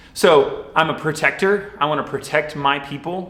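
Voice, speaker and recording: A man's lively intonation and moderate pace come through noticeable background noise and audible room echo. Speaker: youth minister. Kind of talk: sermon. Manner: loud; casual.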